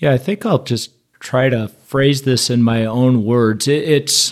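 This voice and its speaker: A man with a plain, everyday voice, medium pitch, and a fairly slow pace. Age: 50s. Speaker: pastor. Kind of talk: casual chat.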